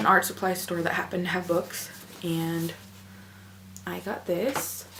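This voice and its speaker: A woman with a fairly low pitch talks at a fairly slow pace with ordinary pitch variation. Audible room echo and noticeable background noise fill the recording. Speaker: book vlogger. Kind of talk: casual vlog. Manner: animated.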